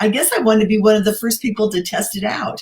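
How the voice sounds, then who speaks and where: Here is a woman with a fairly high pitch. Her voice is somewhat breathy. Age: 60s. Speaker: beauty consultant, host's mother. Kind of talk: testimony.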